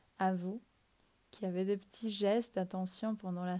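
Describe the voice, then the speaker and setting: A woman's dark, mellow voice at medium pitch, fairly slow, with monotone, flat intonation. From Ecuador. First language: Spanish (speaking French). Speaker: podcast host. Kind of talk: reflective monologue. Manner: hesitant at times.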